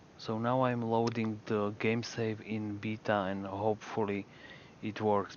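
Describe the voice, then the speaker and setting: In a strong Slovak accent, a man speaks at a very slow pace. His fairly low voice stays monotone and flat. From Slovakia. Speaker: video game streamer. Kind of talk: live gaming stream chat. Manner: halting, with fillers.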